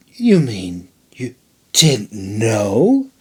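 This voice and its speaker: This is a put-on character voice. The man behind it uses a medium pitch. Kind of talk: surprised, innocent granny voice. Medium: read story. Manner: chirpy, feigned innocence.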